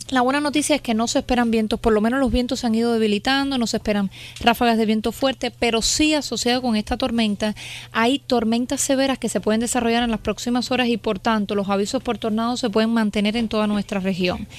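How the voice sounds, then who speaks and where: The speech comes at a very fast pace, with very even loudness and fairly even intonation. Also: woman, fairly high pitch for a woman. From Cuba. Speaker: meteorologist. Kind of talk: weather report.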